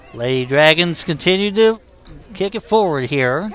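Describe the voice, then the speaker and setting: Crowd noise fills the background as a man talks at a fairly slow pace. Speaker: sports commentator. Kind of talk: live play-by-play sports commentary. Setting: broadcast from a sports venue. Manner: matter-of-fact, low-key, calling the action.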